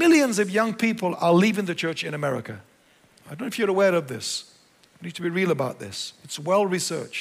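Speaking with an English accent, a man talks fairly quickly at a high pitch, his intonation lively and his loudness swinging widely. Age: 60s. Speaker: pastor. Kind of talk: sermon. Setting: church.

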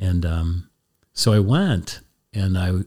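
In a very clean recording with a silent background, a man with an American accent speaks in a somewhat breathy voice at a very deep, low pitch. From US Northeast (Lancaster County, Pennsylvania). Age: 70s. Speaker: Jesuit priest. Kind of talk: casual chat. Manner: halting.

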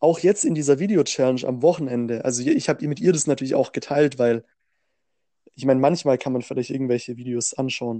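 A man talks at a fairly quick pace with a fairly high pitch and ordinary pitch variation. His speech has long, frequent pauses. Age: 20s. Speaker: podcast co-host. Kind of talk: casual chat.

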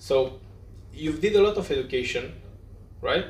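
With a Romanian accent, a man speaks amid audible room echo. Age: young. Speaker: podcast host. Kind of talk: interview. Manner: halting.

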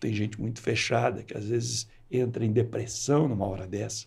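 Fairly low in pitch, a man speaks with vocal fry. His pace is fairly slow and his intonation fairly even. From Brazil, rural west of São Paulo state. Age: 60s. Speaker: entrepreneur. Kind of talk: interview.

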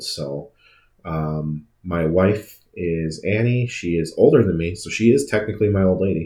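The speaker has an Upper Midwest accent. Pitch variation is ordinary. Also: man. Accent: Upper Midwest American. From Wisconsin. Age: 30s. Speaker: podcast host and car dealer. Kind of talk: casual monologue.

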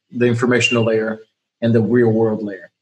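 In a monotone, flat delivery, a man's somewhat breathy voice sits at a medium pitch. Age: 30s. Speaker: podcast host. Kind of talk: casual chat.

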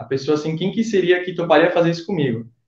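A man talks at a high pitch and a fairly quick pace. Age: 20s. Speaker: photographer, former student. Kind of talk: casual interview, travel story.

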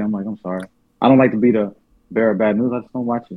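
A man's voice with fairly even intonation. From US South, born in New Orleans. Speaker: rapper, songwriter, producer. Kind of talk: casual chat.

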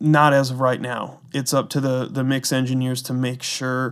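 A man speaks at a moderate pace in an ordinary speaking voice, his pitch in the medium range. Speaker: guest, music mixing engineer. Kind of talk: casual interview.

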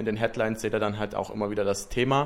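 Here a man talks at a very fast pace. His intonation stays fairly even. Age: 20s. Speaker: podcast host, business student. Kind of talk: casual podcast introduction.

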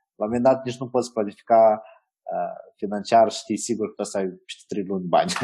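A man speaks at a fairly quick pace in a medium pitch. His tone is dark and mellow, with ordinary pitch variation. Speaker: digital media manager. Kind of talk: interview. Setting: video call.

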